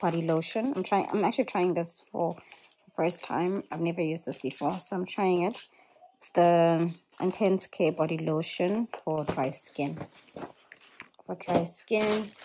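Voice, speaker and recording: Light background noise sits behind a woman's voice. She talks at a fairly slow pace with ordinary pitch variation. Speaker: vlogger. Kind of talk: casual haul chat. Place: home room. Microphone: phone near.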